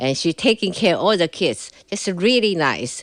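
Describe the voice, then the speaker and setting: A woman with a Chinese accent, in a dry, close sound with no echo. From China, Shanghai. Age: 60s. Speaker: Cultural Revolution survivor telling her story. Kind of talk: interview testimony. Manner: halting, many fillers.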